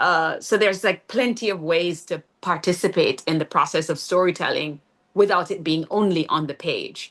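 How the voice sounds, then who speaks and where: A woman with a Jamaican accent speaks at a moderate pace in a medium pitch, with fairly even intonation over a quiet background. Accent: Jamaican, kept on purpose. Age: 50s. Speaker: playwright and poet. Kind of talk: interview conversation. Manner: hesitant, many fillers and repeats.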